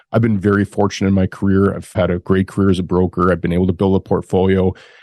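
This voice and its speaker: In a dry, close sound with no echo, a man with a very deep, low pitch and a dark, mellow tone speaks at a very fast pace in a monotone, flat intonation. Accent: Canadian. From Canada. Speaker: industrial real estate broker and investor. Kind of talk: podcast interview.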